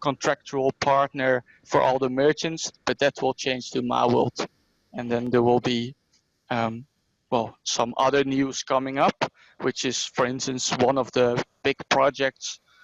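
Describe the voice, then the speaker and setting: In a Dutch accent, a man speaks at a fairly slow pace with monotone, flat intonation, the sound dry and close with no echo. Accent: Dutch accent, self-described as terrible. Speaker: regional company manager. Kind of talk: online presentation. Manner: halting, many fillers.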